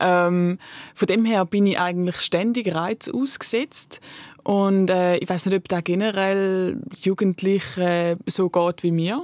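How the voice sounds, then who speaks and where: A woman's very slow, very evenly loud speech, dry and close with no echo, in a very clean recording with a silent background. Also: medium pitch for a woman, fairly even intonation. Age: 20s. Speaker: slam poet and art student. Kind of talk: casual chat.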